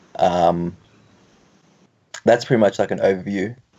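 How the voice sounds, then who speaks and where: A man with an Australian accent talks at a moderate pace. His tone is dark and mellow, and his intonation is fairly even. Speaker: guest on dating talk show. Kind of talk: casual chat.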